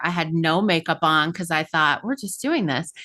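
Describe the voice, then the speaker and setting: Against a quiet background, a woman with a General American accent speaks at a fairly quick pace in a fairly low pitch with a bright, sharp tone and ordinary pitch variation. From Colorado, US. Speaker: podcast host. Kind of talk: podcast interview.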